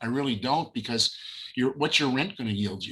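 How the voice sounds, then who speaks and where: A man's fairly high-pitched voice, bright and sharp in tone, at a fairly quick pace. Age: 70s. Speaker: realtor and educator. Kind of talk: webinar discussion.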